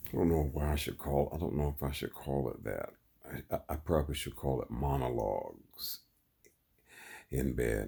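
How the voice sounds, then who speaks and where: This voice has a dark, mellow tone with vocal fry and fairly even intonation. It moves at a moderate pace. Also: man, very deep, low pitch for a man. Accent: American. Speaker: vlogger. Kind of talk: monologue. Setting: in bed.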